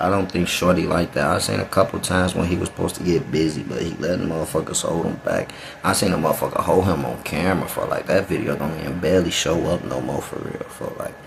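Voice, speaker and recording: A man with a very deep, low pitch at a very fast pace, over noticeable background noise. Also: ordinary pitch variation. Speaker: reaction youtuber. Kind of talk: casual reaction commentary. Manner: casual street slang.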